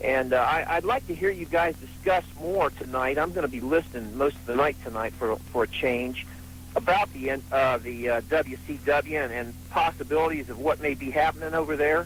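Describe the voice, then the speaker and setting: A man with a fairly high voice lets his pitch swing very widely, with vocal fry throughout. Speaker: radio call-in listener. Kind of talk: phone-in call. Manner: fast.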